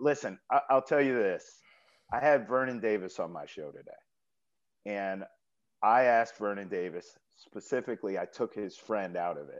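At a moderate pace, a man with a medium pitch speaks with lively intonation, big swings in loudness and long, frequent pauses. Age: 30s. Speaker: sports radio host. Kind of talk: casual chat. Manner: animated.

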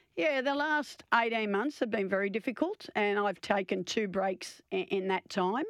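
Her pitch medium and her loudness very even, a woman speaks at a moderate pace with lively intonation and hardly any pauses. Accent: Australian. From eastern Australia (born Victoria, played in New South Wales). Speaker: outgoing cricket association chief executive, former test cricketer. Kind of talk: radio interview. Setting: radio studio. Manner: halting, many fillers and repetitions.

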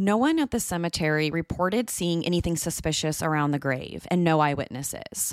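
Recorded very cleanly against a silent background, a woman uses a normal speaking voice at a moderate pace and fairly low pitch. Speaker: true crime podcast host. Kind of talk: true-crime narration, scripted and read aloud. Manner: measured, grave, steady storytelling pace; serious, suspenseful, even-toned.

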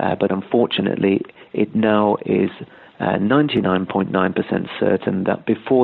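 Speaking with a British accent, a man keeps his pitch fairly low. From Britain. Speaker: journalist. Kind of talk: interview. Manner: hesitant, many fillers.

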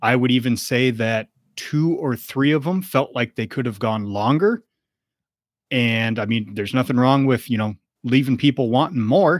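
With an ordinary speaking voice, a man talks at a moderate pace and medium pitch with ordinary pitch variation, in a dry, close sound with no echo. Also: very clean recording, silent background. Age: 40s. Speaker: wrestling podcast co-host. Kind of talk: casual chat.

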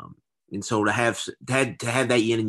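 A man speaks at a very fast pace in a bright, sharp tone. His voice has vocal fry and ordinary pitch variation. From Louisville, Kentucky (south end). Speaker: college football writer and podcaster. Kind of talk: casual interview chat.

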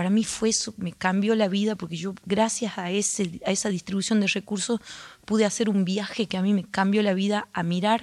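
A woman's medium-pitched voice at a fairly quick pace, monotone and flat in intonation, on a very clean recording with a silent background. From Argentina, Andalgalá, Catamarca. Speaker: folk singer. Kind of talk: radio interview. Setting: radio studio auditorium.

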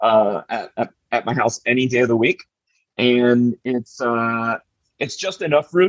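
With long, frequent pauses, a man talks at a fairly slow pace in a medium pitch with ordinary pitch variation, the sound dry and close with no echo. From US South, Miami, Florida. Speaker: food personality and TV judge. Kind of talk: casual chat.

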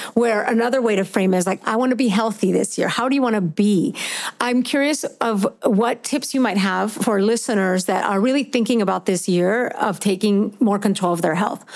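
In an ordinary speaking voice, a woman talks at a fairly high pitch with ordinary pitch variation and very even loudness. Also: moderate pace, hardly any pauses. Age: 40s. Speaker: podcast host and fitness coach. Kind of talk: casual interview chat.

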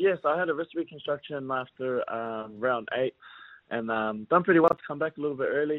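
A man with a New Zealand accent talks at a fairly quick pace in a fairly high pitch with ordinary pitch variation. His loudness swings widely. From New Zealand (West Auckland). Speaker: rugby league player. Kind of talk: casual interview.

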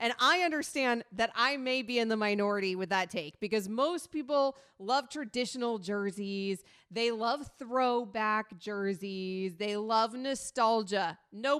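Speaking fairly slowly, a woman uses an unremarkable speaking voice with a fairly high pitch. Her pitch varies in an ordinary way against a quiet background. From US South, Sarasota, Florida. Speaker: sports radio host. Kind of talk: sports talk radio chat. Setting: radio studio.

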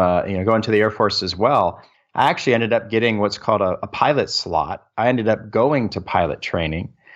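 Against a quiet background, a man with an unremarkable speaking voice talks at a fairly quick pace at a medium pitch with ordinary pitch variation. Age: 40s. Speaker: military service member and real estate investor. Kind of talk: interview. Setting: remote call.

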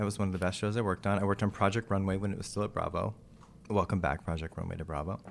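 With an American accent, a man with a fairly low pitch talks at a very fast pace. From Texas. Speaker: actor and TV producer. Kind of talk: interview. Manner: animated.

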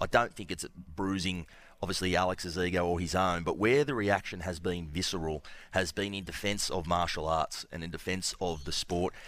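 A man speaks with an Australian accent, his pitch very deep and low with ordinary variation. His pace is moderate, and the recording is very clean with a silent background. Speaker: sports journalist. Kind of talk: sports radio chat.

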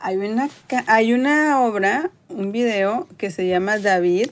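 A woman speaks very slowly. Her pitch is fairly high. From Mexico, Tampico, Tamaulipas. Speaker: art educator. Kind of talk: casual interview.

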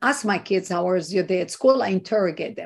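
A woman with an Israeli accent against a quiet background. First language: Hebrew. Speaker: activist and organization founder. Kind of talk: interview.

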